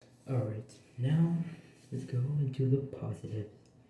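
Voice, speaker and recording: Noticeable background noise sits behind a man who talks at a fairly slow pace. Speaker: game reviewer. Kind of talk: casual game review. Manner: halting, filler-heavy.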